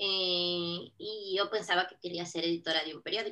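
A woman with a bright, sharp tone and a fairly low pitch talks at a fairly slow pace with fairly even intonation. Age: 30s. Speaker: digital marketing consultant. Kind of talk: podcast interview.

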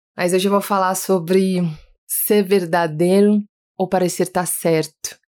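A woman's warm, medium-pitched voice, monotone with flat intonation, very even in loudness and at a fairly slow pace. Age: 30s. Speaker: podcast host. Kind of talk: personal storytelling monologue. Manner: warm, intimate.

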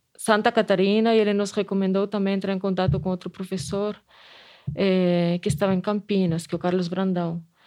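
A woman with a Spanish accent speaks at a medium pitch, her intonation fairly even. Music plays in the background. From Spain. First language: Spanish (speaking Portuguese). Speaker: anthropology professor and museum director. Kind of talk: interview testimony. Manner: hesitant with repetitions.

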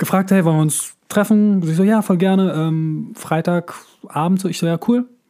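A man with a high-pitched voice. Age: 40s. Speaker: actor and voice actor, podcast co-host. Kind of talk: casual chat. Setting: remote recording.

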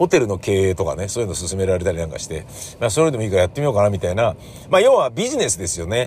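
A man at a very fast pace, lively intonation, noticeable background noise. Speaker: podcaster. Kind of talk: casual solo monologue.

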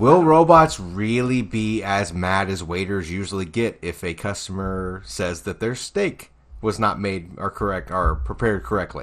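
Lively intonation marks an unremarkable speaking voice that keeps a moderate pace with hardly any pauses. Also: man, fairly low pitch for a man. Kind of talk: casual chat.

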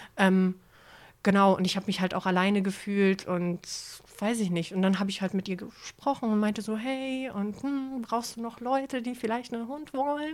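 A woman with a normal speaking voice talks at a fairly high pitch and moderate pace, with ordinary pitch variation. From Hamburg. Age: 30s. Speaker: former homeless person. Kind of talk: personal testimony in interview.

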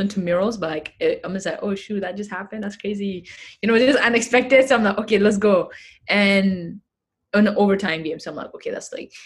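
A woman's medium-pitched, somewhat breathy voice with a non-native accent and ordinary pitch variation. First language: not English. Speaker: activist and athlete. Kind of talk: casual interview chat.

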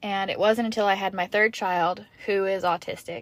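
Someone with an American accent speaks at a moderate pace in a very clean recording with a silent background and a dry, close sound with no echo. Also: woman. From US South, Kentucky and Georgia. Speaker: podcast host. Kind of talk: casual monologue.

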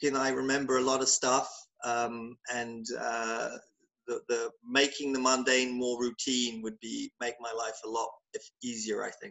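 A man's medium-pitched, monotone delivery with a southern England accent, flat in intonation and at a fairly slow pace. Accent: British English, southern England. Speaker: conference company founder. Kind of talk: casual interview.

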